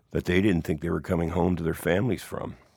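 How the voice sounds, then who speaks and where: This voice carries a Canadian accent and ordinary pitch variation. The recording is very clean, with a silent background. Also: man. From Hamilton, Ontario, Canada. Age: 50s. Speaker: musician and author. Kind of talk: casual interview, storytelling.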